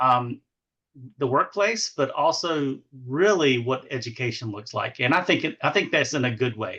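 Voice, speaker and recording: Over a quiet background, a man with an Eastern North Carolina accent speaks in a bright, sharp tone at a fairly high pitch with lively intonation. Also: moderate pace. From US South, eastern North Carolina. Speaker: education administrator. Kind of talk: podcast interview. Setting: podcast.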